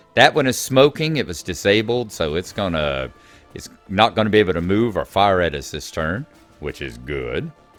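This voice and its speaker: A man with a very deep, low pitch and very wide pitch swings, at a moderate pace, with big swings in loudness and music in the background. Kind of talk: casual video game commentary.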